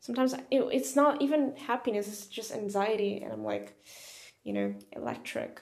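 A woman's loudness swings widely. Room echo is audible. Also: moderate pace. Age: 20s. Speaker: poetry podcaster and online language teacher. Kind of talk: casual monologue. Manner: casual, hesitant with frequent fillers.

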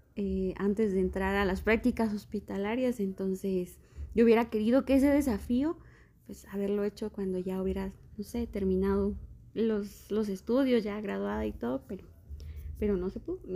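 Her tone dark and mellow, a woman talks at a medium pitch with ordinary pitch variation. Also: moderate pace. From Guatemala, Quetzaltenango. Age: 30s. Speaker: doctor. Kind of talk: interview.

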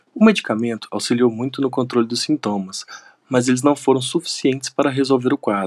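In a dry, close sound with no echo, an ordinary speaking voice moves at a fairly quick pace with ordinary pitch variation. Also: man, medium pitch for a man. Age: 30s. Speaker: university lecturer and veterinarian. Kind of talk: testimony.

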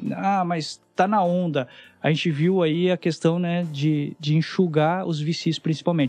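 Against a quiet background, a man with a high pitch speaks at a fairly slow pace with fairly even intonation. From interior of São Paulo state, Brazil. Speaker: startup mentor and investor. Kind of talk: podcast interview.

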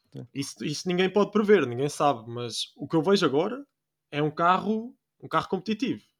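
A man with a European Portuguese accent speaks at a high pitch and a fairly quick pace. His voice shows very wide pitch swings and big swings in loudness. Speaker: podcast host. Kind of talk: casual chat. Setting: recording at night.

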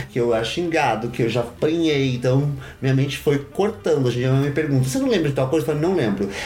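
Over noticeable background noise, a man speaks at a medium pitch and a fairly quick pace with ordinary pitch variation. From São Paulo, Brazil. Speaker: drag performer. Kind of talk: interview conversation.

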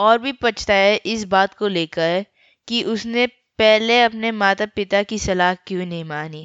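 Natural-voiced reading aloud, ordinary in pitch variation, over a quiet background

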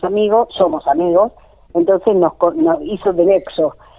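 A woman speaks at a moderate pace with a medium pitch in an ordinary speaking voice. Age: 50s. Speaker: folk singer. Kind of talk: radio interview. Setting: phone call.

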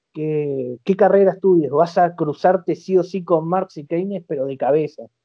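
The man's voice is high in pitch. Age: 40s. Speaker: economist. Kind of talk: interview.

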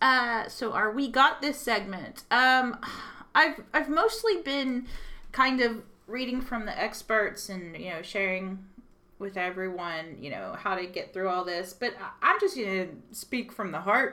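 Fairly high in pitch and bright, sharp in tone, a woman with a Texas accent speaks at a fairly slow pace with very wide pitch swings and big swings in loudness. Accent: Texas Southern US. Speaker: radio host. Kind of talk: casual chat.

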